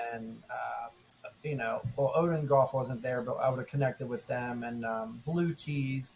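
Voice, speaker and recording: A man speaks at a fairly slow pace with a medium pitch. Noticeable background noise runs underneath. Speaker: podcast co-host and golf ambassador. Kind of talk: casual chat. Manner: loud; animated.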